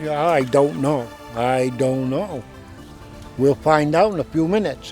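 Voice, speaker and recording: There is music in the background. Over it, a man speaks with a fairly high pitch. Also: ordinary pitch variation, fairly slow pace. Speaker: horse teamster. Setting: outdoors.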